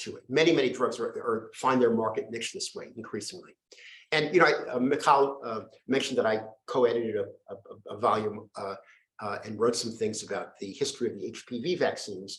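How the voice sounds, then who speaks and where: His somewhat breathy delivery comes at a fairly quick pace, and this man's loudness swings widely. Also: medium pitch for a man, ordinary pitch variation. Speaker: professor and medical historian. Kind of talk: lecture. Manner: fast; halting, many false starts.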